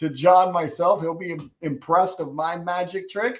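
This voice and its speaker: A high-pitched man at a moderate pace. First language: Spanish. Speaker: talk show host. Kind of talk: live interview show. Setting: YouTube live video call. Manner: enthusiastic, with hesitations.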